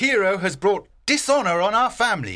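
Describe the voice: A man does a put-on character voice, high-pitched with big pitch swings and a bright, sharp tone, at a moderate pace. The recording is very clean, with a silent background.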